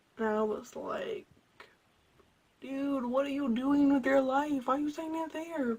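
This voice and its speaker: At a fairly slow pace, a woman speaks loudly in a high pitch, leaving long, frequent pauses. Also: ordinary pitch variation. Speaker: vlogger. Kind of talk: casual storytelling vlog. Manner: animated.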